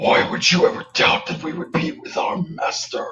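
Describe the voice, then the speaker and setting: A man does a put-on character voice pitched high. His voice is raspy. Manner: menacing, sinister, persuasive.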